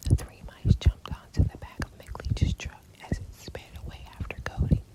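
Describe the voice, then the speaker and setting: Someone whispers at a moderate pace. Background noise is noticeable. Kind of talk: ASMR bedtime story reading of a children's book. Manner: whispered, soft.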